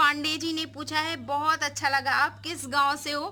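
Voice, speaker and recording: Here a woman speaks in a raised, projected voice. Her pitch is high and her tone bright and sharp. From Uttar Pradesh, Raebareli. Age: 20s. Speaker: vlogger. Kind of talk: Q&A vlog answering viewer comments. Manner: casual and chatty, with fillers.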